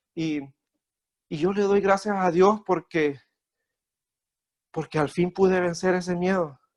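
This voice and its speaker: A high-pitched man speaks fairly slowly with fairly even intonation and long, frequent pauses, the sound dry and close with no echo. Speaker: lay preacher. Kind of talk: sermon. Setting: video call. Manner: halting.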